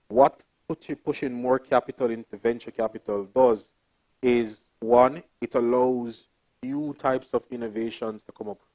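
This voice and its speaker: In a Jamaican accent, a man with a dark, mellow tone and medium pitch speaks at a moderate pace with fairly even intonation, the sound dry and close with no echo. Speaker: development bank investment officer, panelist. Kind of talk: panel talk.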